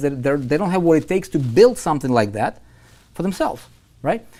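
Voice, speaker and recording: With a non-native accent, a man talks very fast in a fairly high voice with a dark, mellow tone. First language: not English. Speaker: online marketing coach. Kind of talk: live webinar sales pitch. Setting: live online stream. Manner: animated, repetitive.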